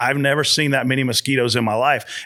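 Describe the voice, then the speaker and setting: A man's bright, sharp, medium-pitched voice in a Southern US accent at a very fast pace. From South Carolina. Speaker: motorsport spotter and video series host. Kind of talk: podcast interview. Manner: animated.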